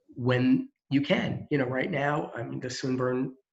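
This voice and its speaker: A man talks with a medium pitch and a somewhat breathy sound. His intonation is monotone and flat. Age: old. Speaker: employment center staff. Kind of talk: presentation. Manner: fast.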